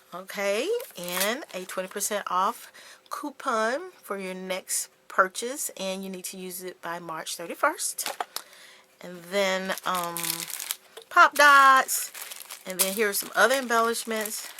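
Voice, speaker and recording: Amid noticeable background noise, a woman at a medium pitch speaks at a very slow pace with big swings in loudness. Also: ordinary pitch variation. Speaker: craft YouTuber. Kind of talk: casual haul video.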